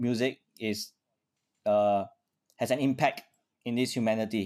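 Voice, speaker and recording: A man talks with a Singaporean accent. His intonation stays fairly even. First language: Chinese. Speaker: orchestral trumpet player. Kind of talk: interview conversation.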